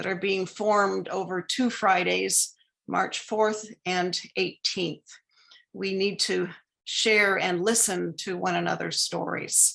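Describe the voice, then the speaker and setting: Against a quiet background, a woman with a medium pitch, a bright, sharp tone and vocal fry speaks at a fairly slow pace. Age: 60s. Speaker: lecture speaker. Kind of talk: lecture. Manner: formal.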